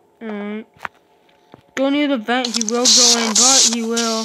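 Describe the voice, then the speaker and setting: A woman talks at a moderate pace in a fairly high pitch. Noticeable background noise is present. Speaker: gaming video creator; mobile gamer. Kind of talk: gameplay commentary. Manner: quiet, holding voice down; halting, many fillers.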